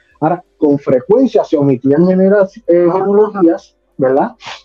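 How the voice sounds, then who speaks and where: A man's high-pitched voice with lively intonation and a Puerto Rican accent. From Puerto Rico (Caguas, San Lorenzo) and Florida. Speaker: pastor and theology teacher. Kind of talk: theological dialogue.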